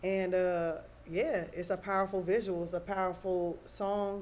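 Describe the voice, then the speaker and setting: In a monotone, flat delivery, a woman with an American accent speaks at a medium pitch. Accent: Bay Area with some Southern drawl picked up. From US West Coast, Oakland, California. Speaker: hip-hop artist. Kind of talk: interview.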